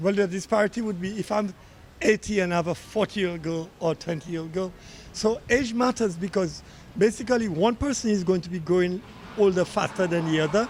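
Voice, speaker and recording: Here a man talks at a fairly quick pace. His voice is high, with ordinary pitch variation. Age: 60s. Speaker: member of the public in street interview. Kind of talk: street vox pop.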